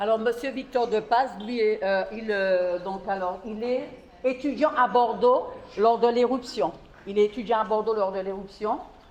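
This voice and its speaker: A woman talks at a fairly quick pace with ordinary pitch variation and a fairly high pitch. Noticeable background noise sits behind her. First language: French. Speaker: distillery tour guide. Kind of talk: guided tour talk.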